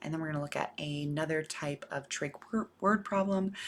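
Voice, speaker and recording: A woman talks at a fairly quick pace. Her voice is soft-spoken. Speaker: math teacher. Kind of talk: lecture.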